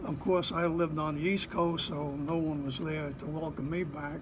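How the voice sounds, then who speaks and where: A man with an American accent and a fairly high pitch talks at a fairly slow pace with ordinary pitch variation. Noticeable background noise runs underneath. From Bayonne, New Jersey. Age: 80s+. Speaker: Korean War veteran, Marine. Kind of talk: interview answer.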